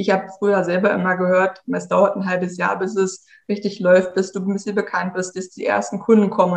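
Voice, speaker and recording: Her voice showing vocal fry at a medium pitch, a woman talks at a fairly quick pace. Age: 30s. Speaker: tech consultant for entrepreneurs. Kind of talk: interview. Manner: casual.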